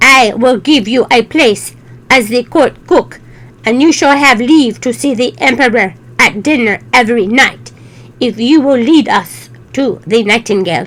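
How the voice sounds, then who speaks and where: A woman in a put-on character voice, high-pitched, at a moderate pace. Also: ordinary pitch variation. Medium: read story. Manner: pompous, ornate.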